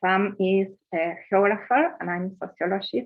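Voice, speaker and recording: A woman's medium-pitched voice with a Spanish accent, a very slow pace and ordinary pitch variation. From Argentina, La Plata. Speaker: sociologist. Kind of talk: conference presentation. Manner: halting.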